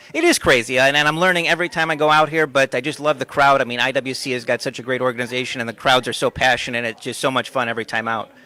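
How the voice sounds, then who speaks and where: A very fast-talking man with hardly any pauses, medium pitch, fairly even intonation and a bright, sharp tone. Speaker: wrestling ring announcer. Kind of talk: interview answer.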